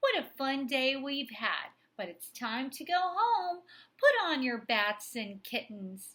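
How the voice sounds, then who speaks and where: A woman does a put-on character voice, high in pitch and fairly slow. Her pitch swings very widely, and her loudness swings a lot too. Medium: read story. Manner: cheerful, teacherly, playful.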